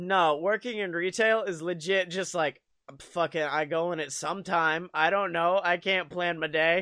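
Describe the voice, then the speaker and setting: Someone talks at a fairly slow pace on a very clean recording with a silent background. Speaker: podcast host. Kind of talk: casual comedic banter. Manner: animated.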